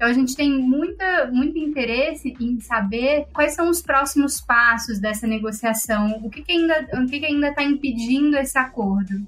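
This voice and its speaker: Over noticeable background noise, a woman speaks in a high pitch at a moderate pace, with ordinary pitch variation. She hardly pauses at all. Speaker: podcast host, legislative analyst. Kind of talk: podcast hosting.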